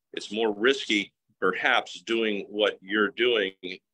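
A man at a very slow pace, with a fairly low pitch, a bright, sharp tone and a quiet background. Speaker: coach or group leader. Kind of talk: live group discussion. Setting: group video call. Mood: encouraging, motivational. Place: home room. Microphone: video call.

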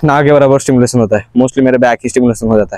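Here a man is speaking. The background is quiet and the sound dry, with no echo. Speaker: fitness vlogger. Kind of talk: casual fitness vlog and sponsor promo. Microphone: lapel.

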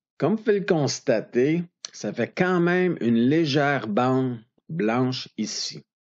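A man in a Quebec accent, fairly high in pitch, with lively intonation at a very slow pace. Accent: Québécois French. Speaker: photographer teaching Photoshop. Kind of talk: tutorial. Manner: casual.

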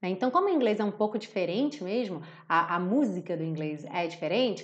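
Here a woman speaks in a Rio de Janeiro accent at a medium pitch. Her tone is animated and her pace fairly quick. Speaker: English teacher. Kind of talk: live online lesson. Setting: live stream. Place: home room.

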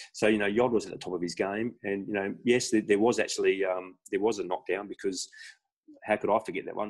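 Against a quiet background, a man uses an unremarkable speaking voice with fairly low pitch and fairly even intonation. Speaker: podcast guest. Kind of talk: interview answer. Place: home room. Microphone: video call.

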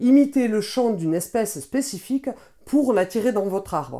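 A woman's fairly high voice with a dark, mellow tone against a quiet background. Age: 20s. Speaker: board game reviewer. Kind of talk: scripted narration. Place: home room.

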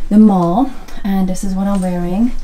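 The voice keeps a moderate pace and fairly even intonation. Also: woman. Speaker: lifestyle vlogger. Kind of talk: casual vlog chat. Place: home room. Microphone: phone near.

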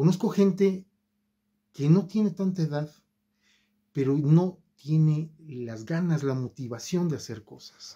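Against a quiet background, a man speaks very slowly with long, frequent pauses and big swings in loudness. His voice is fairly high-pitched with a dark, mellow tone and ordinary pitch variation. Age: 50s. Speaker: YouTuber. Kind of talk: video monologue; casual vlog chat. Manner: hesitant fillers. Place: home room. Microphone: phone near.

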